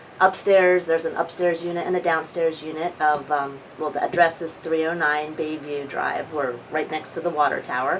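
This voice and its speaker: Over noticeable background noise, a woman speaks in a fairly low pitch with flat, monotone intonation. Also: moderate pace, hardly any pauses. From New Jersey (Audubon). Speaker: oral history interviewee. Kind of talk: casual reminiscing interview.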